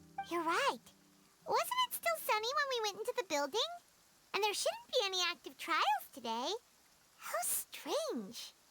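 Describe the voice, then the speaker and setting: A squeaky, put-on character voice sits at an extremely high pitch, with very wide pitch swings. It moves at a moderate pace with long, frequent pauses. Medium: video game. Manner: chatty, curious.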